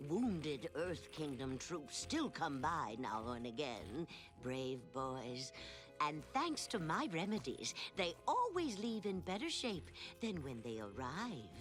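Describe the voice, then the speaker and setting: Over clear music in the background, a cartoonish character voice at middle pitch speaks at a fairly slow pace. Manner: rambling, absent-minded.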